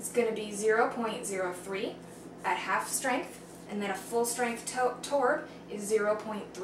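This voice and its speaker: A woman speaks with ordinary pitch variation. Audible room echo and light background noise can be heard. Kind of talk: tutorial. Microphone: camera far.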